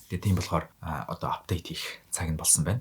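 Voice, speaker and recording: A man rushes through his words at a very fast pace, his voice somewhat breathy. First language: Mongolian. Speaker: polyglot youtuber. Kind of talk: multilingual vlog monologue.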